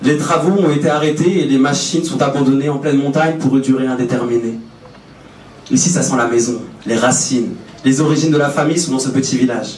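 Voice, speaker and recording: A man talks at a fairly quick pace and a fairly high pitch, with fairly even intonation and very even loudness. Audible room echo and noticeable background noise are present. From France, Brittany. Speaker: public speaker. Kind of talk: prepared stage talk. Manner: poetic.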